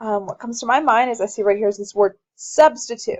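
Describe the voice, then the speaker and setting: With an ordinary speaking voice, a woman talks at a fairly quick pace and fairly high pitch, her intonation lively. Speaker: high school science teacher. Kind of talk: tutorial.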